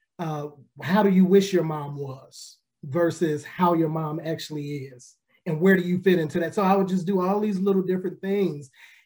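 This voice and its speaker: Pitched high, a man speaks at a moderate pace with fairly even intonation and an American accent. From Chicago. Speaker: pastor and author. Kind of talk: interview.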